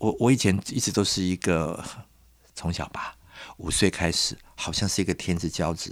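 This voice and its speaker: A man speaks at a moderate pace. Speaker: designer and curator. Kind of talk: interview.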